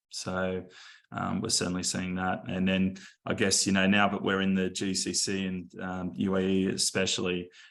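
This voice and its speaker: Speech in an Australian accent comes at a moderate pace with monotone, flat intonation. The background is quiet. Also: man, very deep, low pitch for a man. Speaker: venture investor. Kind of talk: panel talk. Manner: halting, many fillers.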